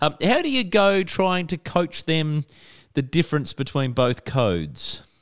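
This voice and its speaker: Speaking fairly slowly with an Australian accent, a man uses a fairly high pitch and lively intonation, recorded dry and close with no echo. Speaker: radio host. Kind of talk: casual radio interview.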